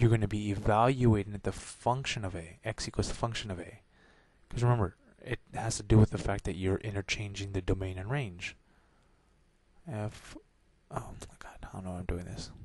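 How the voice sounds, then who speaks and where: A soft-spoken, somewhat breathy man at a fairly low pitch, with long, frequent pauses and big swings in loudness. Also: moderate pace. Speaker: math tutor. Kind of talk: tutorial. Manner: soft-spoken, talking low; halting, many fillers.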